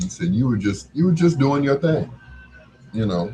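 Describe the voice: The tone is dark and mellow, with a slightly husky edge. Big pitch swings run through speech at a moderate pace. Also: man, medium pitch for a man.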